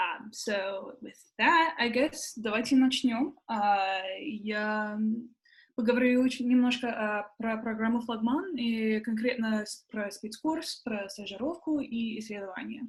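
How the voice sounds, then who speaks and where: At a fairly slow pace, a woman with an unremarkable speaking voice talks at a fairly high pitch, with ordinary pitch variation and big swings in loudness. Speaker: program alumna presenting. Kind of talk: presentation.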